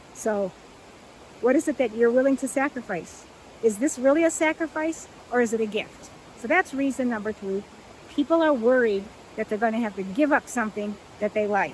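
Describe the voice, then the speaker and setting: A woman's fairly quick speech with lively intonation and long, frequent pauses, over noticeable background noise. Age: 60s. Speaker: plant-based lifestyle coach. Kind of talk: talking-head video monologue. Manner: conversational, with frequent fillers.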